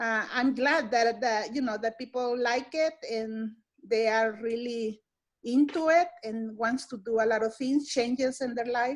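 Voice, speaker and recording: With a Spanish accent, the speaker talks at a fairly slow pace and fairly even intonation in a very clean recording with a silent background. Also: woman, high pitch for a woman. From El Salvador. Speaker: nutrition educator. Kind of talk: staff meeting self-introduction. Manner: halting, many fillers and repetitions.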